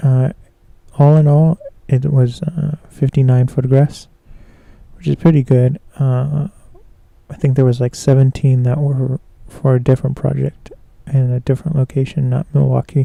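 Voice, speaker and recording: In a dry, close recording with no echo, a man's dark, mellow, somewhat breathy voice stays monotone and flat, broken by long, frequent pauses. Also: medium pitch for a man, moderate pace. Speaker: photographer and live streamer. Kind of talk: casual live stream commentary. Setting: live stream. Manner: hesitant, many fillers.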